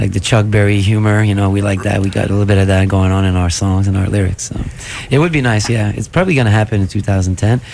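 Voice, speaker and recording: Very fast speech plays over noticeable background noise. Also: man, fairly low pitch for a man. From Quebec City. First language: French. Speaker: rock musician. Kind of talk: radio interview. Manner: hesitant, many fillers.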